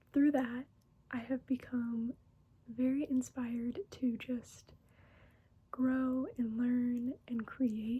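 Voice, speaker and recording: Soft-spoken and gentle, a woman with a high yet dark, mellow voice talks very slowly in a flat monotone, with long, frequent pauses. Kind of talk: soft-spoken ASMR talking to camera. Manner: soft-spoken, gentle, relaxing.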